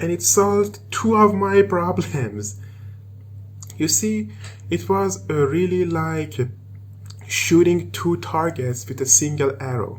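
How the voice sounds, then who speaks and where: Over noticeable background noise, a man with an Iranian accent speaks very slowly at medium pitch, with very wide pitch swings and long, frequent pauses. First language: Persian. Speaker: programmer and tech video maker. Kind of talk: tutorial. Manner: halting.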